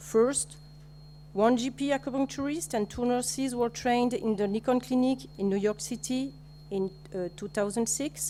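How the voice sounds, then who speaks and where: The speaker talks at a moderate pace in a French accent. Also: woman. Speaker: nurse. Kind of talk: conference presentation. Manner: halting.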